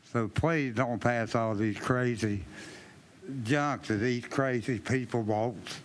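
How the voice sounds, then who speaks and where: A man speaks at a very slow pace and a very even loudness, with audible room echo. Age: 70s. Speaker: retired resident. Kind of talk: public comment speech. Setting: council chamber with large crowd.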